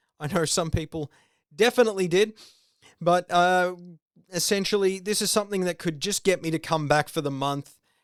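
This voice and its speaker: Recorded very cleanly against a silent background, with a dry, close sound and no echo, a man with an Australian accent speaks at a fairly quick pace in a high pitch with ordinary pitch variation. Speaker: video game podcaster. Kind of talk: solo podcast commentary. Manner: casual, with many fillers.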